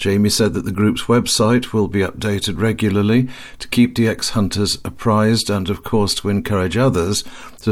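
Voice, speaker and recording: At a fairly quick pace, a man with an ordinary speaking voice talks at a fairly low pitch with ordinary pitch variation. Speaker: news reporter. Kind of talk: scripted news reporting.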